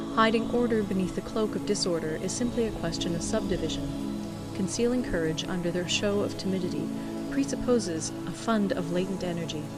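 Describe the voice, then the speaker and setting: Music plays behind a woman who talks at a moderate pace. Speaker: volunteer audiobook reader. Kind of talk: audiobook reading of a classic text.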